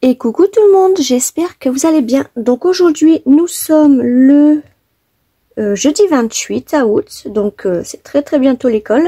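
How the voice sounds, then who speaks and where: A woman speaks very slowly in a high pitch with a dark, mellow tone. Her pitch swings very widely, and the sound is dry and close with no echo. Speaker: papercraft tutorial maker. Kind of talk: tutorial. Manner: soft-spoken; hesitant, many fillers.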